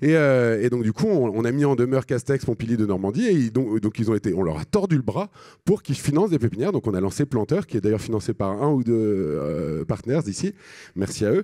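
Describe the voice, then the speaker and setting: At a fairly quick pace, a man with a medium pitch and a dark, mellow tone makes very wide pitch swings, captured in a very clean, dry, close recording with a silent background and no echo. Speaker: social entrepreneur. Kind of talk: conference talk. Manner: fast; halting.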